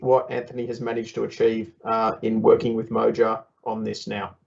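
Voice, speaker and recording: A man with an Australian accent at a moderate pace. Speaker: software developer presenting at workshop. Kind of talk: workshop presentation. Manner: conversational, with frequent fillers.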